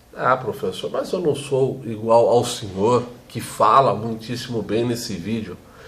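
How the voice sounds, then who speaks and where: This man's medium-pitched voice unfolds very slowly. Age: 40s. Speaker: teacher. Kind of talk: vlog monologue. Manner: fluent, well-spoken.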